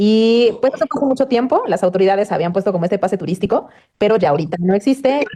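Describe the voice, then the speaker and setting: A woman with a central Mexican accent speaks in a medium pitch with a dark, mellow tone and ordinary pitch variation. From Mexico, Puebla. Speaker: news anchor. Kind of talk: interview.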